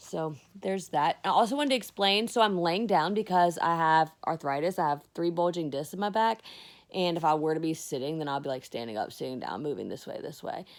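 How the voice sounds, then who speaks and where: On a very clean recording with a silent background, a woman with a fairly low pitch talks fairly quickly and with lively intonation. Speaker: vlogger, army veteran. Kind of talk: casual personal vlog monologue. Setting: lying down while recording. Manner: fast; loud.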